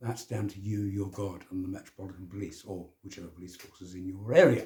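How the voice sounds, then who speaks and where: A man's dark, mellow, somewhat breathy voice at a very fast pace, fairly even intonation and big swings in loudness. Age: 70s. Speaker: self-help vlogger. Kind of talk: casual monologue. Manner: informal, conversational.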